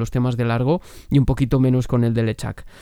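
At a fairly quick pace, a man speaks in a dark, mellow tone at a medium pitch. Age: 30s. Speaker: podcast host. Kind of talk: scripted narration. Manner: animated.

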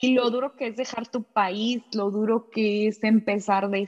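With a dry, close sound and no echo, a woman speaks at a fairly slow pace in a fairly high pitch and a monotone, flat intonation. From Mexico. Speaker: podcast host. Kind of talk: interview.

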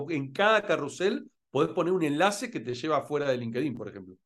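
This man speaks with a Rioplatense accent at a fairly quick pace. His pitch is fairly high and swings very widely. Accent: Argentine Rioplatense Spanish. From Argentina (Rosario, Buenos Aires). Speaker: entrepreneur and LinkedIn expert. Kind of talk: interview.

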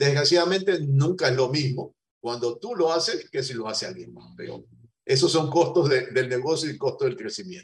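With a normal speaking voice, a man of fairly high pitch talks at a moderate pace, showing ordinary pitch variation and big swings in loudness. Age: 60s. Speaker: business owner. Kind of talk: interview.

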